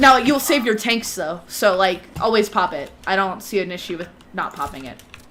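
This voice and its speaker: Over noticeable background noise, a woman speaks at a moderate pace and medium pitch. Her intonation is lively, and her loudness swings a lot. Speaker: gaming instructor. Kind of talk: online class.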